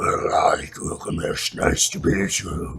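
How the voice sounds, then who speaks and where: A man growls in a put-on character voice. He speaks at a fairly slow pace. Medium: read story. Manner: mild, understated.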